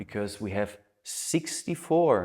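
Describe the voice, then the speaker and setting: With a very clean recording and silent background, a man speaks at a fairly low pitch with a non-native accent. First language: not English. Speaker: human design teacher. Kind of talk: lecture.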